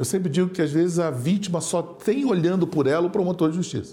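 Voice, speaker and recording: The speaker is a man. His pitch is high. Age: 60s. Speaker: public prosecutor. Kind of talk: studio interview. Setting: studio.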